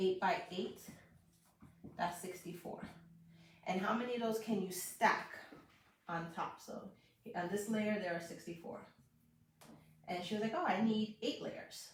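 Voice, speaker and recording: With long, frequent pauses, a woman of medium pitch speaks fairly slowly and somewhat breathily, her intonation fairly even amid audible room echo. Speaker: math teacher giving online lessons. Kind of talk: live-streamed tutorial. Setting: live stream.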